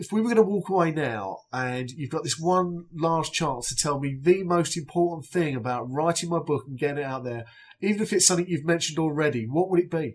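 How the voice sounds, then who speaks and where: With an unremarkable speaking voice, a man talks at a fairly quick pace and a fairly high pitch, using ordinary pitch variation and hardly any pauses. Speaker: podcast host. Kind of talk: podcast interview.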